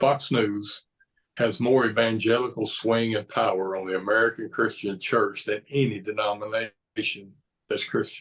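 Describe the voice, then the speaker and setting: A man with a Southern US accent talks in a medium pitch with monotone, flat intonation. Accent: Southern drawl. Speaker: pastor. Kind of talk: interview conversation.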